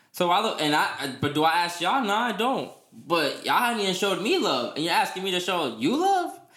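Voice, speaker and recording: A man talks at a fairly quick clip with hardly any pauses, his high pitch swinging very widely over noticeable background noise. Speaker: podcast host. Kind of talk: casual chat. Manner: fast talker.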